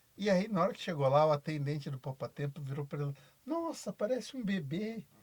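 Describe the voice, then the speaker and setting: A man is speaking. His pace is moderate. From Brazil, São Paulo interior. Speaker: basketball coach. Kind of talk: podcast interview.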